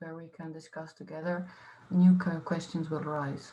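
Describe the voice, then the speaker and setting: A woman speaks at a moderate pace in a monotone, flat delivery. Her fairly low voice has a dark, mellow tone and sounds somewhat breathy. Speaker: artist-researcher. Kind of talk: panel discussion. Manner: halting.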